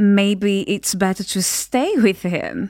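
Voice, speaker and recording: The intonation is lively. A woman delivers it at a very slow pace. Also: very clean recording, silent background. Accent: Portuguese. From Brazil. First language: Portuguese. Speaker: activist and support worker. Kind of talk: interview testimony.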